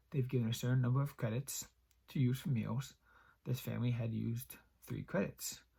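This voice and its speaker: A man talks at a fairly quick pace. He takes long, frequent pauses. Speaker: YouTube creepypasta reader. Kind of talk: horror story reading.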